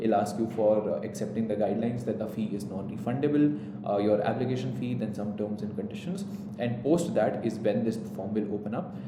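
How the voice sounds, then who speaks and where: A man with an Indian accent talks at a fairly quick pace, his pitch fairly low with ordinary variation. Noticeable background noise and audible room echo fill the recording. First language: Hindi. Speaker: entrance exam coach. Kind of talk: tutorial.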